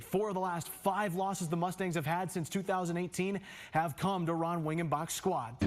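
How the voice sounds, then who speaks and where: The speaker has an energetic tone and keeps a moderate pace. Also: man. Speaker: sports anchor and reporter. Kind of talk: TV sports anchor delivery. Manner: energetic, punchy.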